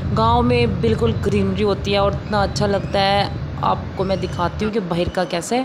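Background noise is noticeable here. Over it, a woman keeps a moderate pace. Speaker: vlogger. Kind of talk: casual vlog chat. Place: car. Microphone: phone near.

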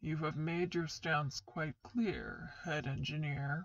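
A put-on character voice, rumbling and middle-pitched, at a fairly slow pace

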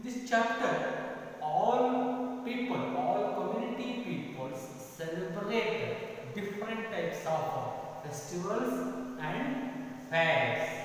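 Over light background noise and strong room echo, a man speaks at a very slow pace with long, frequent pauses, a high pitch, and lively intonation. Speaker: school teacher. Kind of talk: lecture. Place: classroom. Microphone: camera far.

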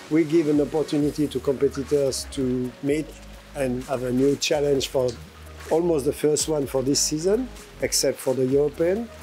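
Over faint background music, a man speaks with fairly even intonation. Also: moderate pace. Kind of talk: interview answer. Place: waterside.

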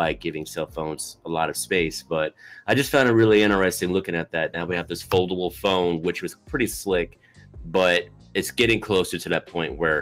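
A man speaks at a fairly quick pace with a very deep, low pitch. His pitch variation is ordinary, and faint music plays in the background. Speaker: podcast co-host. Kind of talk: podcast discussion. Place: home room.

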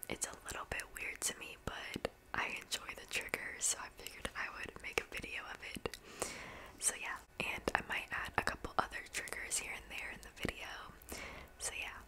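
Loud background noise fills the recording. Through it, a woman keeps a moderate pace. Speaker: ASMR creator. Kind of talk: soft ASMR talk. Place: home room. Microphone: studio mic.

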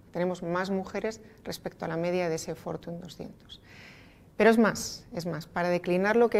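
Intonation stays fairly even. The pace is fairly quick. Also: woman. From Spain, Asturias (Oviedo); Asturias, Spain. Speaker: energy company executive. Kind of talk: interview. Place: meeting room.

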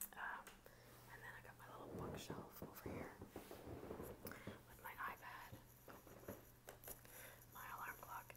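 Whispering at a very slow pace, with long, frequent pauses over noticeable background noise. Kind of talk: casual talk to camera. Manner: whispered, soft-spoken.

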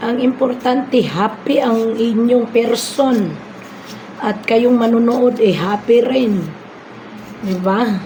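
Speaking very slowly in a Visayan accent with fairly even intonation, the voice comes through noticeable background noise and audible room echo. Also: woman, fairly high pitch for a woman. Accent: Bisaya accent in Tagalog. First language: Bisaya (speaking Tagalog). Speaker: cooking vlogger. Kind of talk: casual cooking vlog.

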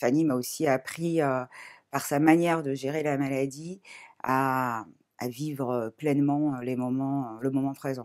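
Very slowly, a woman speaks in a very deep, low pitch. Her pitch moves in an ordinary way against a quiet background. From Paris, France. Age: 40s. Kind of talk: testimony. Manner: hesitant, many fillers. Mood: calm, reflective, emotional topic. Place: home room.

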